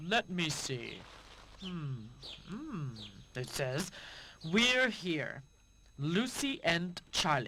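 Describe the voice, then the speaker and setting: A put-on character voice at middle pitch, very slow, with long, frequent pauses. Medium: video game. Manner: slow, pondering with hums.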